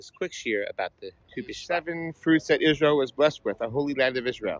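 Recorded dry with no echo, a man speaks with ordinary pitch variation. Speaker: religious teacher. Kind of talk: casual teaching talk. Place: street. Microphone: earbuds.

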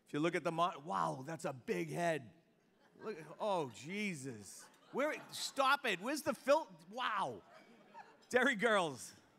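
This voice has a Boston accent and a bright, sharp tone, with very wide pitch swings. It moves at a very slow pace, broken by long, frequent pauses. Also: man, high pitch for a man. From South Boston, Massachusetts; Massachusetts. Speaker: master of ceremonies; event emcee. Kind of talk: emcee speech at awards luncheon. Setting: hotel ballroom with audience. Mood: jovial, joking. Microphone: handheld.

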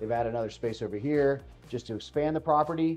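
Faint music plays in the background. A man talks with ordinary pitch variation. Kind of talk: property tour presentation. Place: home room.

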